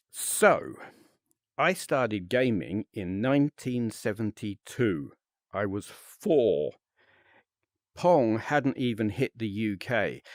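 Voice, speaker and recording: A man with a British accent speaks at a very slow pace, his medium-pitched voice moving with lively intonation. Long, frequent pauses break up the speech, and the sound is dry and close with no echo on a very clean recording over a silent background. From UK. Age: 50s. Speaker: VRChat content creator. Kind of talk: casual monologue to camera. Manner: halting, many fillers.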